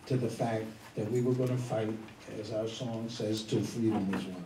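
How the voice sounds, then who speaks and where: A man speaks with an American accent. The room echoes audibly, and there is noticeable background noise. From New York (Harlem). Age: 70s. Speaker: elder activist and speaker. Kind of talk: panel discussion.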